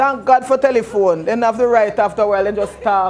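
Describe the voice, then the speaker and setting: The speaker is a woman. She talks with a Jamaican accent. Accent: Jamaican English with patois features. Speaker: pastor. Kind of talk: lecture. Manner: conversational, engaging.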